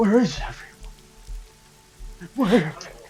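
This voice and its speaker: Over faint music in the background, a loud, put-on character voice rings out at a fairly high pitch. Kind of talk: melodramatic old-fashioned oratory. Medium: actual play. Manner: loud, archaic and theatrical.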